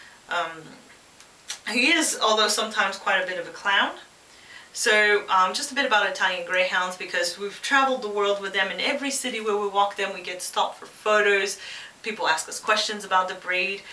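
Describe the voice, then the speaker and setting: A woman speaks at a medium pitch and a fairly quick pace, with ordinary pitch variation, noticeable background noise and audible room echo. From Quebec, Canada. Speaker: pet product reviewer. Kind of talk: casual vlog introduction. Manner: hesitant, many fillers.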